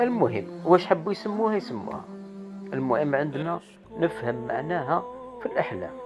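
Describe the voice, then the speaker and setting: A man with an Algerian accent speaks at a moderate pace in a high voice with very wide pitch swings. He pauses long and often, with music in the background. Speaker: dream interpreter. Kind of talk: casual talk to camera.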